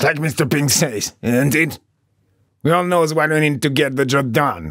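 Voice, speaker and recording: Using a put-on character voice, a man speaks at a moderate pace with a gravelly, fairly high pitch. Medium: read story. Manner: gruff, bossy.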